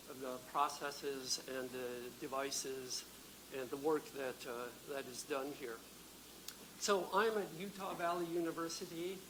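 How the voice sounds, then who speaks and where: In an American accent, the speaker moves at a fairly slow pace with long, frequent pauses, and audible room echo fills the recording. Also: man, fairly high pitch for a man, ordinary pitch variation. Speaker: physicist and university lecturer. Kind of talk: lecture. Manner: halting, frequent fillers.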